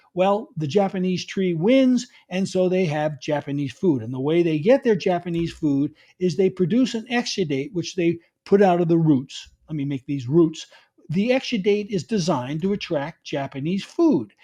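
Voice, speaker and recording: A man speaks in a New York accent with a high pitch and a dark, mellow tone. His intonation is lively, and the background is quiet. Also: moderate pace. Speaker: garden author and speaker. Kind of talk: conference talk.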